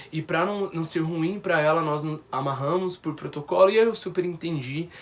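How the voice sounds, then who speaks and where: A man's high voice holds fairly even intonation at a moderate pace. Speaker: vlogger. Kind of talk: personal testimony.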